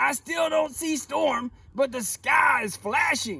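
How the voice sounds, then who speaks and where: A man puts on a character voice at an extremely high pitch and talks at a fairly slow pace. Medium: read story. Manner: flustered, repeats words.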